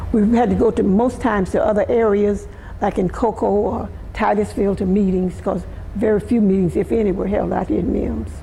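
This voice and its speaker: A woman in a Southern US accent, fairly quick in pace, with very even loudness. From US South, Florida. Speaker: community elder. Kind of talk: oral history interview.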